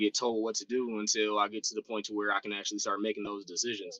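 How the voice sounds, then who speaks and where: Bright and sharp in tone, a man's fairly low voice carries an American accent in a dry, close recording with no echo. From Oakland, California. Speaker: Air Force staff sergeant. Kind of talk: casual chat.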